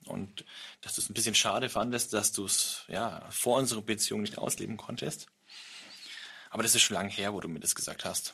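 Noticeable background noise sits behind a man with a fairly low pitch and fairly even intonation. He talks at a fairly quick pace but leaves long, frequent pauses. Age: 30s. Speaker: podcast host. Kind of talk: casual chat.

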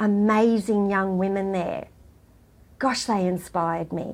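Very clean audio, a silent backdrop, and a woman with an Australian accent. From rural New South Wales, Australia. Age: 50s. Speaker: charity worker and former client. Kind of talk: interview.

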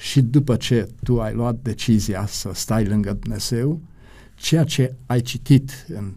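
Very slowly, the man talks in a dark, mellow tone that is somewhat breathy. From Romania, Satu Mare county. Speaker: pastor and publishing director. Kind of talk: interview, life story.

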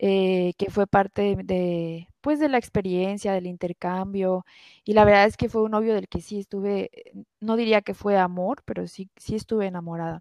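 Speaking at a moderate pace, a woman with a medium pitch keeps her intonation fairly even, and the sound is dry and close with no echo. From Mexico, Guadalajara. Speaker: engineer, airline employee. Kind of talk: personal testimony in interview. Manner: hesitant, many fillers.

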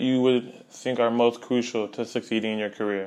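In an ordinary speaking voice, a man talks at a moderate pace and a medium pitch. His pitch varies in an ordinary way. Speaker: student podcast host. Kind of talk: interview; scripted intro.

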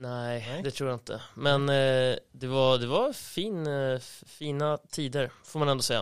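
A man speaks fairly slowly at medium pitch with ordinary pitch variation in a normal speaking voice. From Sweden, Uppland (Storvreta). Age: 30s. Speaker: floorball club manager. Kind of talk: casual chat.

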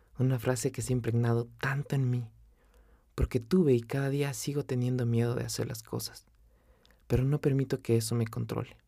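Somewhat breathy, a man with a medium pitch and a dark, mellow tone talks at a fairly quick pace in monotone, flat intonation. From Ecuador, Quito. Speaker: veterinarian podcaster. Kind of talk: motivational personal narration.

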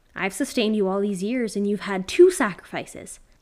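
In a very clean recording with a silent background, a female-sounding voice at medium pitch does a put-on character voice at a fairly quick pace.

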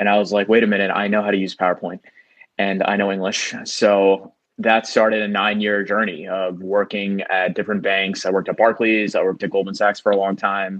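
A man speaks with a New York accent in a fairly low pitch. His intonation is flat and monotone. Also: fairly quick pace. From New York, Queens. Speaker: comedian. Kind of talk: casual chat.

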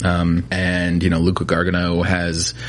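A man speaks with a very deep, low pitch over noticeable background noise. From New Jersey. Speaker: spirits distributor salesperson. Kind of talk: casual interview. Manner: hesitant, many fillers.

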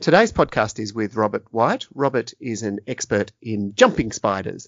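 A man with an Australian accent speaks at a fairly slow pace and a medium pitch. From Tasmania, Australia. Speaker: podcast host. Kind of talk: interview; scripted narration.

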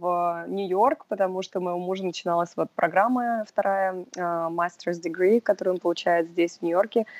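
In a normal speaking voice, a woman talks at a moderate pace and medium pitch with ordinary pitch variation, on a very clean recording with a silent background and a dry, close sound with no echo. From Russia (Sevastopol, Moscow). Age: 20s. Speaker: boutique sales worker. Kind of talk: interview.

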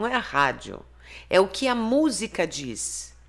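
A woman's fairly high voice with vocal fry and very wide pitch swings. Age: 50s. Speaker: therapist and author. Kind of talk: interview.

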